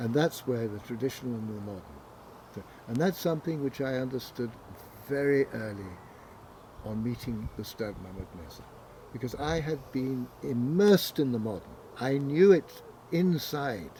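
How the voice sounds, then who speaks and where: A man with a medium pitch speaks at a moderate pace with lively intonation, long and frequent pauses, and big swings in loudness over noticeable background noise. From southern England, Windsor. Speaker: author and arts organizer. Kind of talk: interview conversation.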